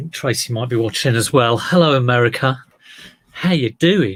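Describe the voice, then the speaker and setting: The voice is somewhat breathy and fairly slow. Its pitch variation is ordinary. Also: man. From southeast England. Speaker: livestreamer addressing viewers. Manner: casual, chatty.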